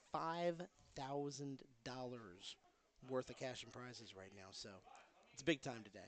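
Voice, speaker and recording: At a moderate pace, a man speaks quietly at a medium pitch. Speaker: livestream commentator at pinball tournament. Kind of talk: live stream commentary. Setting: pinball tournament venue. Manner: speaking quietly.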